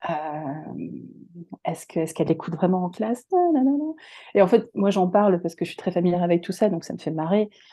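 This woman talks at a fairly quick pace, her medium pitch rising and falling in an ordinary way. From France and North America. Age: 40s. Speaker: speech therapist. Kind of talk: interview. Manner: halting.

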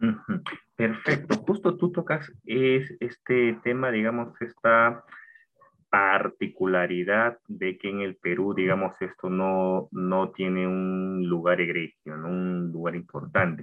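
A man's pitch is very deep and low. He talks very slowly. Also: ordinary pitch variation. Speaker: podcast host. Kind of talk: interview.

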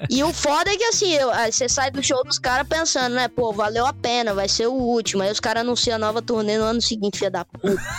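With hardly any pauses, a woman rattles along at a very fast pace in a fairly high pitch, her intonation lively and her loudness very even, while noticeable background noise sits behind her. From Brazil, Espírito Santo. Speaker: rock singer. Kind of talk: casual chat.

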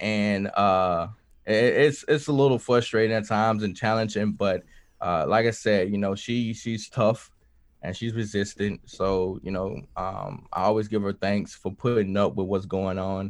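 In a Southern US accent, a man speaks at a fairly low pitch and a moderate pace. His intonation is fairly even, and the background is quiet. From US South, Mississippi. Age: 20s. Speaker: musician and Air Force veteran. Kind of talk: casual chat.

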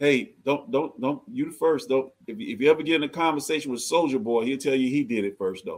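A man with an American accent and a normal speaking voice talks fairly quickly at a fairly high pitch, with lively intonation and hardly any pauses. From US South, Georgia. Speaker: nonprofit founder. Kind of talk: casual chat.

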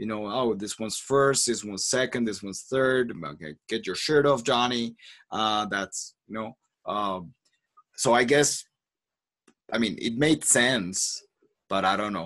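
A man with a Spanish accent at a medium pitch, fairly slow and with ordinary pitch variation, broken by long, frequent pauses. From Colombia. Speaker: podcast host, language coach. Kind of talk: casual chat. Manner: halting, many repetitions.

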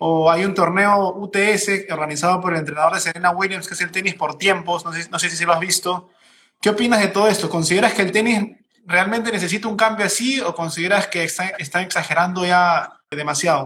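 The voice has a bright, sharp tone. It moves at a fairly quick pace with fairly even intonation. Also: man, high pitch for a man. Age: 30s. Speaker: podcast host. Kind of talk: casual interview. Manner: halting, repeats words.

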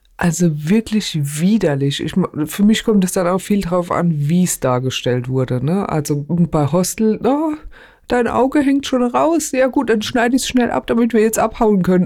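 Her pitch swings very widely. The woman's loudness stays very even throughout. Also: medium pitch for a woman, moderate pace. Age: 40s. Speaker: podcast co-host, court employee. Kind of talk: casual chat.

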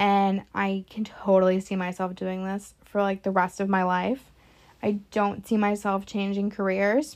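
The speaker is a woman at medium pitch. Her intonation stays flat and monotone. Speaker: podcast host, recreational therapist. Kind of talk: casual monologue. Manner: many filler words, hesitant.

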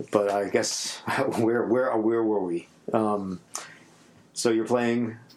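A man with a New York accent speaks at a very slow pace and a medium pitch, his intonation monotone and flat, with long, frequent pauses and noticeable background noise. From New York City. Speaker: podcast host and musician. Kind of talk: casual interview chat. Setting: home studio in apartment.

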